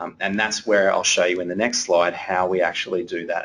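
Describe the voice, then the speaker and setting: Here a man speaks with an Australian accent. His pace is moderate. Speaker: financial adviser. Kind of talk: webinar presentation. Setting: webinar. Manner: monotone.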